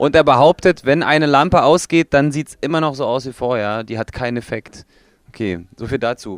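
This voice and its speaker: A man speaks in a plain, everyday voice at a moderate pace with ordinary pitch variation, the sound dry and close with no echo against a quiet background. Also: medium pitch for a man. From Germany. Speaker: metal band member. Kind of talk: interview. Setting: recording studio.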